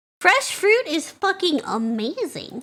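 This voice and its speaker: Bright and sharp in tone, a woman's animated voice moves through very wide pitch swings. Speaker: vtuber reacting to videos. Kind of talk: casual reaction stream commentary.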